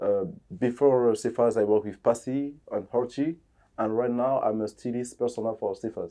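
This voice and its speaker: At a moderate pace, a man with a French accent speaks in a dark, mellow tone at medium pitch with fairly even intonation, over a quiet background. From DR Congo, Kinshasa. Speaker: fashion designer and stylist. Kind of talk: interview. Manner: halting, many fillers.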